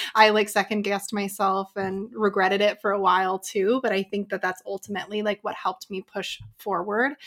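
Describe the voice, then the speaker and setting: With an American accent, a woman talks at a fairly quick pace with hardly any pauses, medium pitch and monotone, flat intonation, in a dry, close sound with no echo. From Utah. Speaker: business coach and hypnotherapist. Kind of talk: casual chat.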